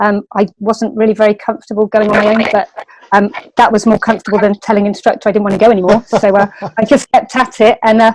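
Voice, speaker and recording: In a West Country accent, a woman speaks at a very fast pace with a fairly high pitch and fairly even intonation, the sound dry and close with no echo. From West Country, England (near Bristol). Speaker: martial arts instructor. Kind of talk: interview. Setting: podcast.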